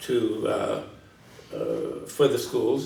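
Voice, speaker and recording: A man speaks with a St. Louis accent. Audible room echo surrounds his voice. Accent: St. Louis Midwestern American. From US Midwest, St. Louis, Missouri. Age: 60s. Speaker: retired teacher, longtime resident. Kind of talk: oral history interview. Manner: hesitant, many fillers.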